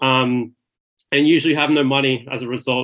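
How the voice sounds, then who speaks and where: This man's voice has a bright, sharp tone and a medium pitch, and his intonation stays fairly even. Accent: Australian. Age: 20s. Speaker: graduate lawyer. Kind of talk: casual interview chat.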